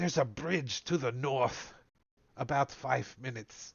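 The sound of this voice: A man puts on a character voice at a medium pitch, speaking at a moderate pace with ordinary pitch variation.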